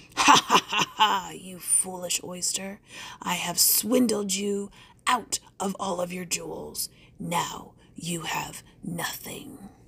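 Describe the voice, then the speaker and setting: In a put-on character voice, a female-sounding speaker uses a raspy, middle-pitched tone at a fairly slow pace. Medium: read story. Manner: fawning, wheedling flattery; gloating laughter at the end.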